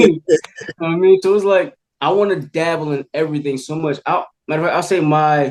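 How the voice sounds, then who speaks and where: A man with an American accent speaks at a fairly high pitch. His pace is fairly quick, with ordinary pitch variation. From New Jersey. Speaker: actor. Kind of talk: casual interview.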